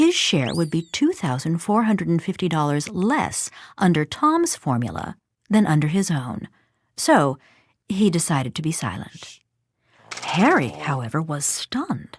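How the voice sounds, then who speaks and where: A somewhat breathy, fairly low female voice at a fairly slow pace, with very wide pitch swings, on a very clean recording with a silent background. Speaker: actress. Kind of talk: animated explainer story narration.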